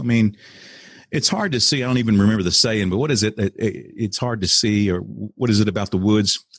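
A man with an American accent and a plain, everyday voice, his pitch fairly low, with ordinary pitch variation. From Texas. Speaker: real estate investor and podcast host. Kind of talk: interview testimony.

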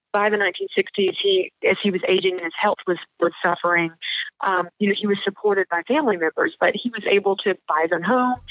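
Talking at a fairly quick pace, a woman with a normal speaking voice and an American accent has a medium pitch and ordinary pitch variation. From US South. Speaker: history professor. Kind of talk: interview.

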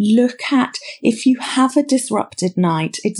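A woman speaks with a British accent and lively intonation. The recording is very clean, with a silent background. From Britain. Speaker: clinical psychologist. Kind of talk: interview. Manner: halting, repeats words.

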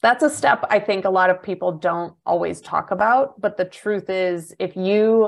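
Against a quiet background, a woman with an ordinary speaking voice talks at a fairly slow pace, her pitch medium and her intonation fairly even. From US Midwest, small town. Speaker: business coach. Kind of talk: interview conversation.

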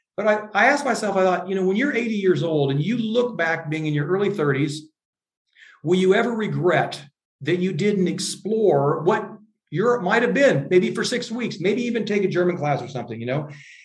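With an American accent, the speaker uses lively intonation at a moderate pace, and audible room echo surrounds the voice. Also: man, high pitch for a man. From US Midwest, Iowa. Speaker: leadership coach and author. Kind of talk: interview.

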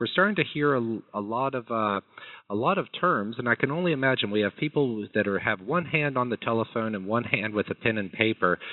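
A man's normal speaking voice, medium in pitch, with lively intonation and a fairly quick pace. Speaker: scientific affairs VP hosting call. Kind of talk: moderated phone Q&A interview. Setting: phone call.

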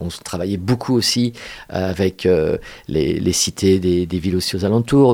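Speaking at a fairly slow pace, a man has a very deep, low pitch, a dark, mellow tone and ordinary pitch variation. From Paris suburbs, France. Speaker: theatre director. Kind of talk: casual chat. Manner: halting.

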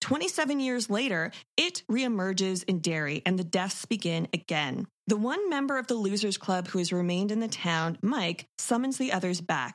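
An unremarkable speaking voice from a woman at medium pitch, with lively intonation, very even loudness and a very clean recording over a silent background. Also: moderate pace. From Toronto, Canada. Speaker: horror podcast co-host. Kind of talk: casual film discussion.

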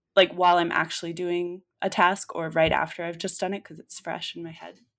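A woman speaks at a fairly quick pace with a fairly low pitch and vocal fry, on a very clean recording with a silent background. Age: 20s. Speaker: copywriter. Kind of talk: casual chat.

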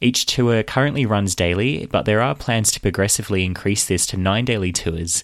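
This man has an Australian accent. His pitch is fairly low. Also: ordinary pitch variation, moderate pace, hardly any pauses. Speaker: podcast host. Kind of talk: news reading and interview.

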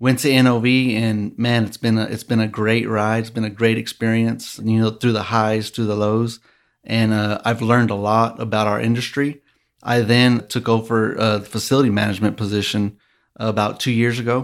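In a very clean recording with a silent background, a man speaks at medium pitch with monotone, flat intonation. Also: moderate pace. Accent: West Texas. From West Texas (Midland). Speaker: oilfield facility manager. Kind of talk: interview. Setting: studio. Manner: halting.

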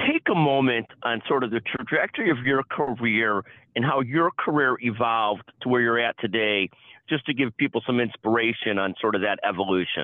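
A man speaks in an ordinary speaking voice at a moderate pace, with medium pitch, ordinary pitch variation and very even loudness. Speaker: podcast host. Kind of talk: interview.

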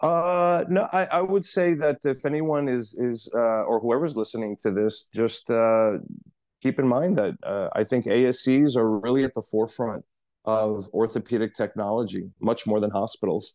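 With an unremarkable speaking voice and an American accent, a man talks at a moderate pace in a medium pitch with lively intonation. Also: very even loudness. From New York City. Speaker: orthopedic surgeon. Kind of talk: interview.

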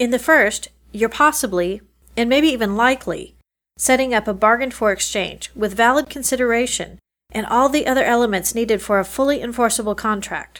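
A woman with a plain, everyday voice speaks at a fairly quick pace and a fairly high pitch. The recording is very clean, with a silent background. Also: ordinary pitch variation. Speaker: lawyer and podcast host. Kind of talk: podcast monologue and interview.

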